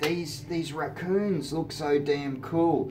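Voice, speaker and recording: A man with an Australian accent at a very slow pace, with music in the background and audible room echo. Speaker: hobby model kit YouTuber. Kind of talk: casual unboxing video. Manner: animated.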